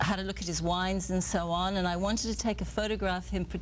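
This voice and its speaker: There is audible room echo as a woman speaks in a British accent. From England. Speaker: photographer and author. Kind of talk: TV interview. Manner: hesitant, many fillers.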